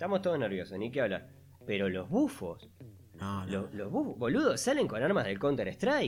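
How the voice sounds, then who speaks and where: A man's medium-pitched voice swings very widely in pitch while keeping a moderate pace. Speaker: podcast co-host. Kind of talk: casual chat. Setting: remote recording.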